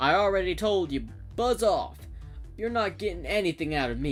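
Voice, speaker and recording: Using a gruff, put-on character voice at a high pitch, a man speaks at a fairly quick pace over clear music in the background. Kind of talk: western. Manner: gruff, dismissive.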